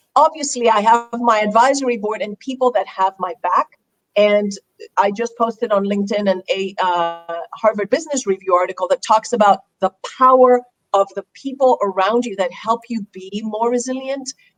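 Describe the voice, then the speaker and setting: A woman speaks in a Greek accent at a moderate pace, her fairly high voice showing ordinary pitch variation. The sound is dry and close, with no echo. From Greece. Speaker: resilience speaker. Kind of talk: interview on live online show.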